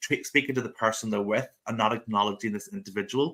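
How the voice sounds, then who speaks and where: A man with a Northern Irish accent talks at a very fast pace in a bright, sharp tone. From Northern Ireland (rural). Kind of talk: interview. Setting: live video stream.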